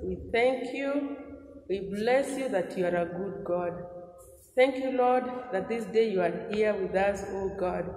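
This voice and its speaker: With audible room echo around her, a woman talks at a fairly slow pace, her pitch varying in an ordinary way. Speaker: Sunday school teacher. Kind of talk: prayer. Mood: earnest, fervent. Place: home room. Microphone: lapel.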